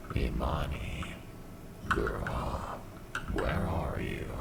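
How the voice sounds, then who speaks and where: A man uses a raspy, put-on character voice with slight echo over loud background noise. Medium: read story. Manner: uncanny, mimicking, luring.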